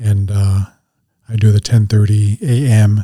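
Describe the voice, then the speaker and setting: In an American accent, a man speaks at a fairly low pitch, his tone dark and mellow and somewhat breathy. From Montana (Northern Cheyenne reservation area). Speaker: recovery coach. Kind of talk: interview. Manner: halting.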